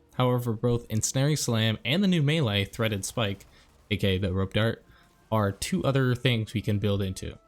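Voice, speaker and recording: Music in the background behind a moderate pace, very even loudness and ordinary pitch variation. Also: man, medium pitch for a man. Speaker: gaming YouTuber. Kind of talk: video game guide narration. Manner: soft-spoken.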